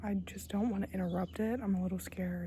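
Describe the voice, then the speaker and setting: A woman talks at a moderate pace. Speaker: vlogger. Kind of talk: travel vlog narration. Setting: outdoors on a hike.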